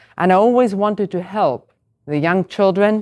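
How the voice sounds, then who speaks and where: A woman speaks at a moderate pace in a very clean recording with a silent background and a dry, close sound with no echo. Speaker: coach. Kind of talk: panel discussion.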